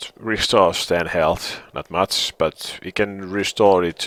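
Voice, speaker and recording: Music plays in the background. A man with a Finnish accent speaks with ordinary pitch variation. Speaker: gaming video creator. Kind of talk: live gameplay commentary. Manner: halting.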